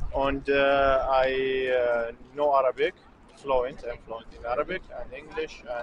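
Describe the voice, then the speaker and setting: Over noticeable background noise, a man with a Kurdish accent speaks at a fairly high pitch and a fairly slow pace with fairly even intonation. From Syria. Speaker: student. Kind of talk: street interview. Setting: outdoors. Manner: halting.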